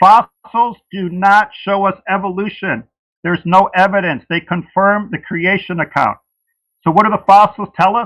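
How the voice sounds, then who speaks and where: The speech is fairly even in intonation and moderate in pace, with a dry, close sound with no echo on a very clean recording with a silent background. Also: man, high pitch for a man. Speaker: creationist debater. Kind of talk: debate opening statement. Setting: livestream debate.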